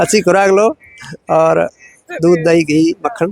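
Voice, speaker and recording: This man is recorded with a dry, close sound and no echo. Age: 60s. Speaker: yoga teacher. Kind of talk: interview.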